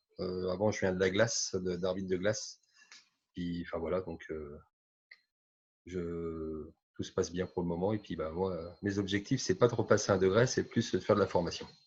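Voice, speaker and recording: A man with a very deep, low voice, somewhat breathy, speaks at a moderate pace with fairly even intonation and long, frequent pauses. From Grand Est, France. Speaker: roller hockey referee and nurse. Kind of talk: group video call interview. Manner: halting.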